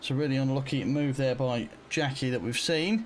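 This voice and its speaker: A man at a medium pitch with lively intonation and an unremarkable speaking voice. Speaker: sim racing commentator. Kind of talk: live race commentary. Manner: excited, fast, conversational.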